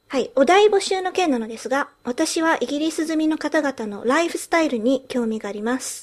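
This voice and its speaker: A woman with a high pitch talks at a moderate pace, her voice making very wide pitch swings. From England. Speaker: podcast co-host. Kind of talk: casual chat. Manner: frequent switching between Japanese and English.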